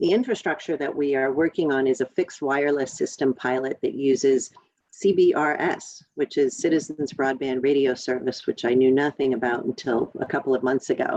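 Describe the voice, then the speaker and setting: A woman with a very deep, low pitch talks at a fairly quick pace with hardly any pauses and ordinary pitch variation, in a dry, close sound with no echo. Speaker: county elected official. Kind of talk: community meeting update. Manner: fast.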